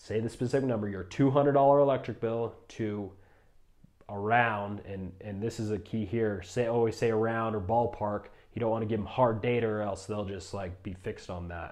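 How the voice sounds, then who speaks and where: A man talks with fairly even intonation. His pitch is fairly low. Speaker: solar sales trainer. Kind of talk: tutorial. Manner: fast.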